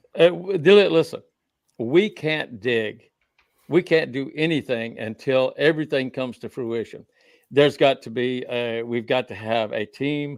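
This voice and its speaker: A man with an Oklahoma accent and medium pitch speaks with big swings in loudness on a very clean recording with a silent background. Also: ordinary pitch variation, moderate pace. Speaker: researcher of the Copper Scroll, guest. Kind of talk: panel interview discussion. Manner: halting, with fillers and repetitions.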